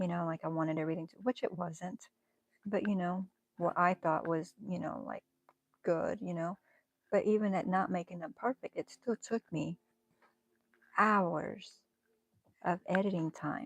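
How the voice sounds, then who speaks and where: Big swings in loudness and long, frequent pauses mark this woman's medium-pitched speech, which has ordinary pitch variation and a dry, close sound with no echo. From northern US. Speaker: crochet and knitting livestreamer. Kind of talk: casual livestream chat while crafting. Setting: livestream. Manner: slow.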